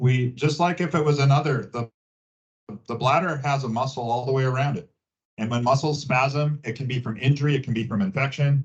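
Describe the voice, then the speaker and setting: A man speaks at a medium pitch and a fairly quick pace. His voice is somewhat breathy, with fairly even intonation. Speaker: gynecologist. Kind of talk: public health talk, Q&A. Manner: halting, many fillers.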